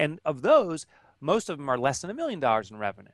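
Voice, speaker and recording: The man sounds animated, with a fairly high pitch. The recording is dry with no echo, and the background is quiet. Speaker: author and entrepreneur; interview guest. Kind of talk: interview. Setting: video call. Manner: passionate. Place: office. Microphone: headset.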